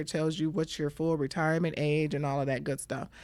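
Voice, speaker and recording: An unremarkable speaking voice from a woman with an American accent, fairly low in pitch, ordinary pitch variation, very clean recording, silent background. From Michigan. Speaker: Medicare insurance broker. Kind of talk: interview, explaining.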